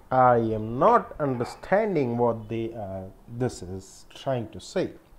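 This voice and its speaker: Words come out at a very slow pace. A non-native accent is present. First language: not English. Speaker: programmer making coding videos. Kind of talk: thinking aloud while reading a problem. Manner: halting, with many fillers.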